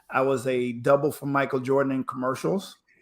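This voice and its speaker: This man speaks at a moderate pace with a slight Spanish accent and a fairly high pitch. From Panama. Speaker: former pro basketball player, speaker. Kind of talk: interview storytelling. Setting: live stream. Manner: energetic.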